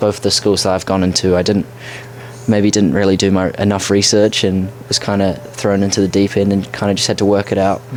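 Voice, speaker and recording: Speaking at a fairly quick pace with a fairly low pitch, a man keeps his loudness very even and his intonation fairly even over noticeable background noise. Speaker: podcast co-host, college soccer player. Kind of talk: casual chat.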